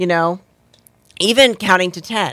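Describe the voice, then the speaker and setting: A bright, sharp, animated tone, with a dry, close sound and no echo. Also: woman. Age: 40s. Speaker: radio host and life coach. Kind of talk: casual interview. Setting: radio studio.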